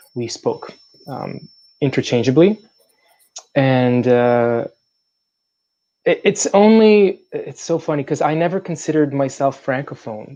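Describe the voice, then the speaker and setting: With a dark, mellow tone and fairly high pitch, a man speaks at a fairly slow pace in lively intonation, leaving long, frequent pauses. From Montreal, Quebec. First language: French and Arabic. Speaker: actor. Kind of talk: interview conversation. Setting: online stream.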